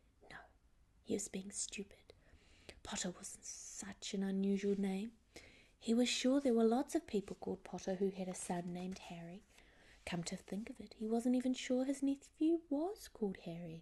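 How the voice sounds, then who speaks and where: This speaker is soft-spoken. The pace is moderate. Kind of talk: ASMR bedtime story reading; audiobook-style reading of a novel chapter.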